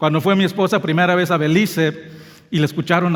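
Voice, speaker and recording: High-pitched male voice with ordinary pitch variation, moving at a fairly quick clip. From Belize, near Mexico. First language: English (speaking Spanish). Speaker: pastor. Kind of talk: sermon. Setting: church.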